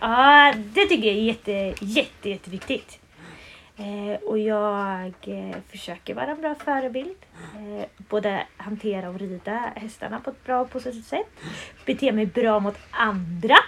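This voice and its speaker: A woman's fairly high voice, a plain, everyday voice, at a fairly slow pace with big swings in loudness. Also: ordinary pitch variation. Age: 20s. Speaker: riding school owner and instructor. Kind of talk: casual interview. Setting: at a pony stable.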